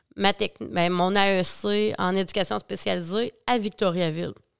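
In a very clean recording with a silent background, a woman speaks very slowly at a medium pitch. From Quebec, Bas-Saint-Laurent. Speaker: agricultural mental health worker. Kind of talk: casual interview.

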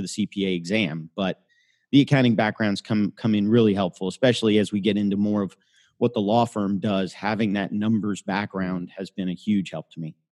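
A normal speaking voice with an American accent moves at a fairly quick pace with fairly even intonation. The sound is dry and close with no echo, over a quiet background. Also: man. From US South, Florida (Miami). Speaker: lawyer. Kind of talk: interview.

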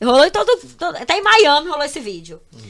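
On a very clean recording with a silent background, the speech moves at a very fast pace. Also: woman. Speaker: social media influencer. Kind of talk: casual chat.

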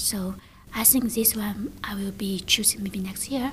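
Noticeable background noise runs behind speech delivered at a moderate pace. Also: woman. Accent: Chinese. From China. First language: Chinese. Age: 30s. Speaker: English student, former teacher. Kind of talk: interview. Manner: halting.

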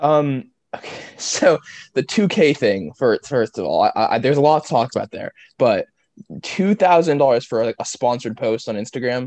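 A man with a plain, everyday voice speaks at a moderate pace and a fairly high pitch, his intonation lively. His loudness swings widely, and the sound is dry and close with no echo. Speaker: podcast host. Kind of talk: casual interview.

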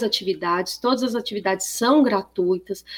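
With ordinary pitch variation and a moderate pace, this woman uses a normal speaking voice. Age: 40s. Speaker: professor, agricultural fair organizer. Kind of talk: radio interview.

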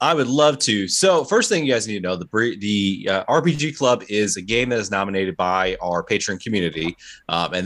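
A man talks with lively intonation. He has a normal speaking voice. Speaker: podcast host. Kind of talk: casual podcast chat, reading notes aloud.

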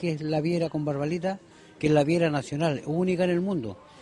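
Talking at a fairly quick pace, a man uses a high pitch. His pitch moves with ordinary variation. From Chile, Ovalle. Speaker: stone artisan. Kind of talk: interview at market stall. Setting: outdoors at craft fair.

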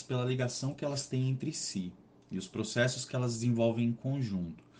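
A somewhat breathy voice at a fairly quick pace with fairly even intonation. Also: man. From Brazil, São Paulo state. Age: 30s. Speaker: finance professional. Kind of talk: interview.

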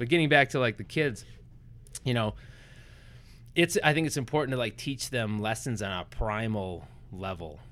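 Lively intonation from a man with an American accent, fairly low pitch and a fairly quick pace. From Wisconsin, US Midwest. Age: 30s. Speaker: entrepreneur. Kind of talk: casual interview. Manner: animated.

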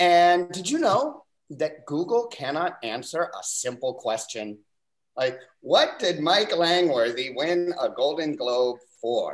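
A man speaks at a very slow pace in a high pitch with lively intonation. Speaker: comedian. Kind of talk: stand-up set.

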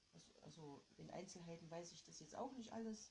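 At a moderate pace, a woman speaks in a fairly low, dark and mellow voice that is somewhat breathy. Room echo is audible. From East Germany. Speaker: podcast guest. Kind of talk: casual interview. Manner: hesitant. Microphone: quiet recording.

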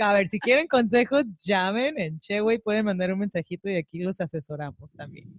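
A woman in an ordinary speaking voice, medium in pitch, talks at a moderate pace with lively intonation and hardly any pauses, in a dry, close sound with no echo. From Mexico, Tijuana. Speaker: podcast co-host. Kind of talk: casual chat. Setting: studio.

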